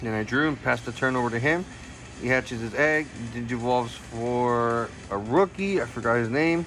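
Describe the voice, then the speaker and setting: A man speaks at moderate speed in a medium pitch, his pitch variation ordinary, while noticeable background noise carries on. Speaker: card game content creator. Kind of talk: gameplay commentary narration. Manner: casual; halting, self-correcting.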